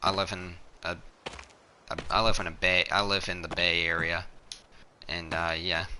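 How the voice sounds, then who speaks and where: A man with a Newfoundland accent speaks at a moderate pace in a very deep, low pitch. His intonation is monotone and flat, with long, frequent pauses. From Newfoundland, Canada. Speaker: video game streamer. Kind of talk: gameplay live stream commentary. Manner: halting, pauses mid-sentence.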